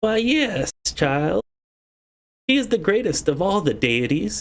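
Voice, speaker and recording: Putting on a character voice, a man speaks at a fairly slow pace with a fairly high pitch and very wide pitch swings. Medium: solo performance. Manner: blunt, plainspoken.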